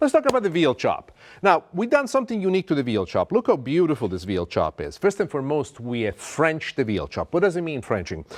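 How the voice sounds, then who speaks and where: Talking very fast with an Italian accent, a man comes through dry and close with no echo against a quiet background. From Italy. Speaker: TV chef. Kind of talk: cooking show presentation. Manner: animated.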